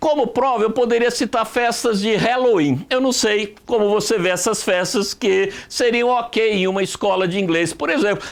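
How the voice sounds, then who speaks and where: At a moderate pace, a man with a São Paulo interior accent talks in a high voice with ordinary pitch variation. He hardly pauses and keeps his loudness very even. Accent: caipira (interior São Paulo). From interior of São Paulo state, Brazil. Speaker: writing teacher. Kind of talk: online lesson. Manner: conversational.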